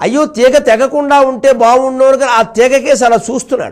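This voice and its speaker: The man's delivery has an animated tone. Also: quiet background. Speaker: Telugu religious discourse speaker (pravachanam). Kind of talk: spiritual discourse storytelling. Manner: animated, expressive storytelling. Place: studio.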